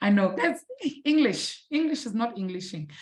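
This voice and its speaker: With a non-native accent, a woman sounds animated and somewhat breathy as her pitch swings very widely. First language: not English. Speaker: maths teacher. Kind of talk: online live lesson. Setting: live-streamed online class.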